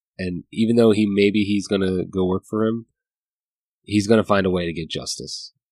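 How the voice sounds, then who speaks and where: An unremarkable speaking voice moves at a moderate pace with fairly even intonation. The sound is dry and close with no echo, over a quiet background. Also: man, fairly low pitch for a man. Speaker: podcast co-host. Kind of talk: casual chat, book review discussion.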